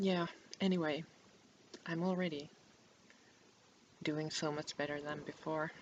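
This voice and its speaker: Soft-spoken and at a fairly slow pace, a woman talks in a very deep, low pitch with fairly even intonation. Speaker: book vlogger. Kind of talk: casual chat. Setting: home recording to webcam. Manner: halting. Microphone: poor webcam microphone.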